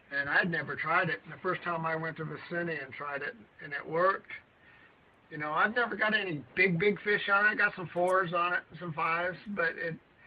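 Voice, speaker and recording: Over noticeable background noise, a man speaks at a fairly quick pace in a high voice, with ordinary pitch variation and big swings in loudness. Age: 70s. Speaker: bass angler. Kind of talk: casual chat. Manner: halting.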